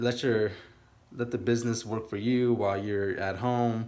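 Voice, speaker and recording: In a room with audible echo, a man with a Californian accent speaks at a medium pitch with fairly even intonation. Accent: Californian American English. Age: 30s. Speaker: aspiring day trader vlogger. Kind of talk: casual vlog monologue. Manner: halting, many fillers.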